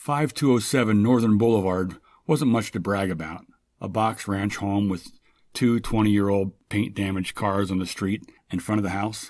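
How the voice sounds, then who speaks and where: Here is a man with an unremarkable speaking voice, pitched fairly low. He talks at a moderate pace with ordinary pitch variation. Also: very clean recording, silent background. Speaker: short story writer. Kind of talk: short story reading.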